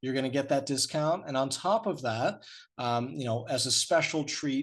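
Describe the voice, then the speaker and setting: A normal speaking voice moves at a moderate pace with ordinary pitch variation. The background is quiet. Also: man. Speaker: cruise line sales representative. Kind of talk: webinar sales presentation. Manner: many fillers, um and uh.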